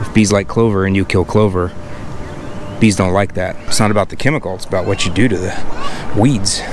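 Over noticeable background noise, a man talks at a fairly quick pace with fairly even intonation and long, frequent pauses, the sound dry with no echo. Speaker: lawn care educator. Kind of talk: casual walk-and-talk to camera. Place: street. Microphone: phone near.

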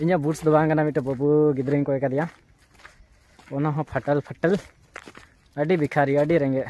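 This man has a fairly high pitch and a dark, mellow tone, with little pitch movement. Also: moderate pace.

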